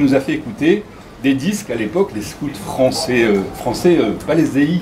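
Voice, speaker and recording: A man with a fairly high pitch speaks at a moderate pace with lively intonation, over noticeable background noise and audible room echo. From Morocco (Casablanca). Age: 60s. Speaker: former scout leader. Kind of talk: nostalgic storytelling at a gathering. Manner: hesitant with fillers.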